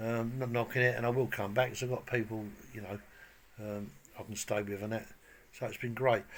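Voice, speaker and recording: Speaking at a fairly quick pace with long, frequent pauses, a man keeps a medium pitch and a monotone, flat intonation. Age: 60s. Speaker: bricklayer vlogger. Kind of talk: casual vlog chat and tutorial. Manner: casual, hesitant with many ums.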